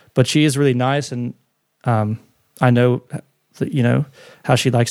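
A man with an Australian accent talks at a moderate pace and medium pitch, his intonation fairly even. The sound is dry and close, with no echo. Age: 30s. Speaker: recording and mix engineer. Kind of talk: interview.

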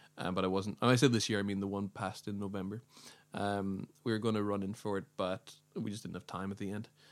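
A man with an American accent speaks at a very fast pace. His pitch is fairly low and his intonation is monotone and flat. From Northern Ireland. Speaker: podcast guest. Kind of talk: casual chat. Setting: studio.

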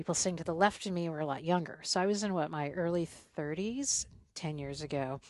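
With an American accent, a woman has an unremarkable speaking voice at a fairly low pitch, ordinary pitch variation and a fairly quick pace over a quiet background. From US South (South Carolina). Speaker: podcast host and traveler. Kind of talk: casual conversation interview.

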